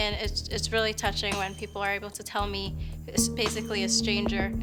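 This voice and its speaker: A woman's voice with music in the background. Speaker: slam poet. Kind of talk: interview answer.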